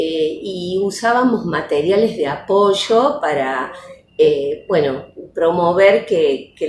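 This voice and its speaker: A woman speaks very slowly at a fairly low pitch, with audible room echo and noticeable background noise. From Argentina, Córdoba province (Las Varillas). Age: 60s. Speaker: retired educational psychologist and teacher. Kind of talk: interview testimony. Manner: hesitant, many fillers.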